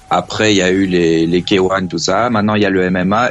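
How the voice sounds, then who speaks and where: This is a man with a fairly low pitch. He has an unremarkable speaking voice. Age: 30s. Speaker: radio show caller. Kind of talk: casual chat. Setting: phone call.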